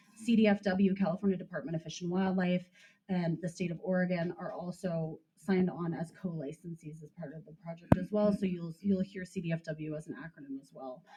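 With big swings in loudness and hardly any pauses, a woman talks at a fairly quick pace, fairly low in pitch with fairly even intonation. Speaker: county official. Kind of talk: meeting explanation. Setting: community center meeting. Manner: fast.

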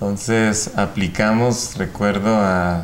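Light background noise sits behind this man. His pitch is fairly low. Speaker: ophthalmologist and medical professor. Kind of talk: interview. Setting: studio. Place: studio. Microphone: lapel.

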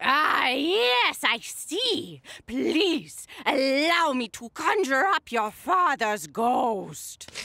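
A cartoonish character voice speaks at a high pitch and a very slow pace. There are hardly any pauses. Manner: theatrical, mystical overacting.

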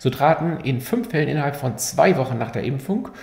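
Lively intonation marks this man's somewhat breathy, fairly high voice, which carries an audible room echo. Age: 50s. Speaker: physician explaining medical research; physician explaining medical news. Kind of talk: medical explainer video.

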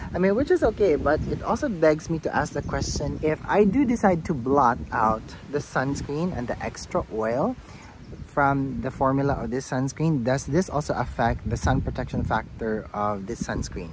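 At a moderate pace, a man with a fairly high pitch speaks with lively intonation, the sound dry with no echo but with noticeable background noise. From Philippines. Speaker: beauty vlogger. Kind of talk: product review vlog. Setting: outdoors in a garden, no lapel mic. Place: garden. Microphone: phone near.

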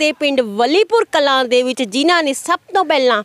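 Against a quiet background, a woman's lively intonation comes through in a dry sound with no echo. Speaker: news reporter. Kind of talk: news report introduction to camera. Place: open country. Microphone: handheld.

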